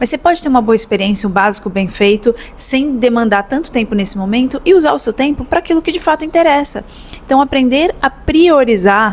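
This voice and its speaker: A woman with a São Paulo accent talks at a fairly quick pace, her fairly high voice full of lively intonation. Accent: São Paulo Brazilian Portuguese. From São Paulo, Brazil. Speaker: business consultant. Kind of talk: educational talk to camera. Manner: casual, conversational.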